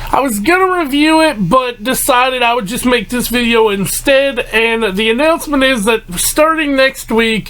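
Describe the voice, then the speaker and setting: A man's extremely high voice at a moderate pace, with ordinary pitch variation, hardly any pauses, and noticeable background noise. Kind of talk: casual talk to camera. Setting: broken mic. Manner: rambling.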